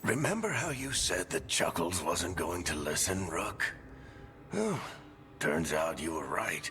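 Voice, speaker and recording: A man's raspy, put-on character voice at a fairly slow pace with long, frequent pauses, against clear background noise. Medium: video game. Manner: wry, joking, casual.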